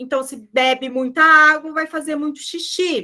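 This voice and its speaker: Raising and projecting her voice, a woman speaks at a very slow pace with fairly even intonation. Her tone is bright and sharp. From southern Brazil (Rio Grande do Sul). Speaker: nutritionist. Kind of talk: online group talk.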